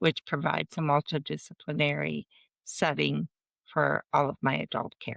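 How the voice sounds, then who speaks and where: At a moderate pace, the voice comes through a dry, close sound with no echo over a quiet background. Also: woman. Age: 60s. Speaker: patient advocate, foundation founder. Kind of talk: panel discussion.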